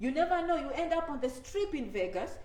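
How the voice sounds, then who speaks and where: A woman speaks in an animated tone, with audible room echo and noticeable background noise. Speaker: immigration advice YouTuber. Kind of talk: live stream talk to viewers. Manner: animated, repetitive conversational.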